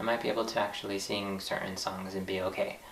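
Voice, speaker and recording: Over noticeable background noise and audible room echo, a man with a fairly low voice speaks at a fairly quick pace. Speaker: vlogger learning to sing. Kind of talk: casual vlog monologue. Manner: halting, with repeated words and fillers.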